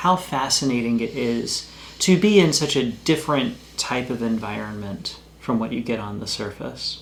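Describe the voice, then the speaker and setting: In a room with audible echo, a man with an American accent talks at a medium pitch and a moderate pace. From US South, Roanoke, Virginia. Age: 40s. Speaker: travel vlogger, father. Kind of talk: casual chat.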